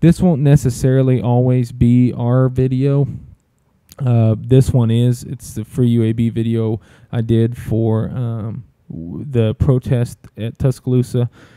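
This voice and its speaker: In a fairly slow, fairly even delivery, a man with an Alabama accent speaks at medium pitch in a dark, mellow tone, the sound dry and close with no echo. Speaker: sports media director. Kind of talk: tutorial. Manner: casual, many fillers and restarts.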